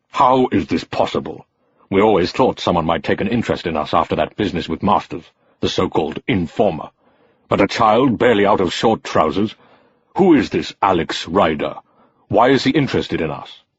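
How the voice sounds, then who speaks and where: Growling and lively in intonation, this is a put-on character voice. Its pace is fairly quick. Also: man, fairly low pitch for a man. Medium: read story. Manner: menacing, imperious.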